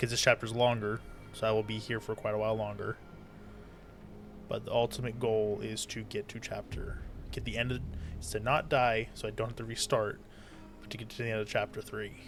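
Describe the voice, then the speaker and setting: Soft-spoken, a man talks with big swings in loudness and long, frequent pauses. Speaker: gaming streamer. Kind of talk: live game commentary.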